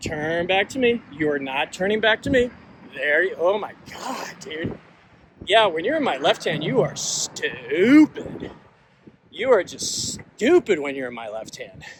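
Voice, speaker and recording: A man with an American accent speaks fairly slowly at a high pitch, with very wide pitch swings and big swings in loudness, over noticeable background noise. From Washington DC area, US. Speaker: author and agile coach. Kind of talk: casual vlog monologue. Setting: outdoors, walking with a gimbal. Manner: hesitant, many fillers.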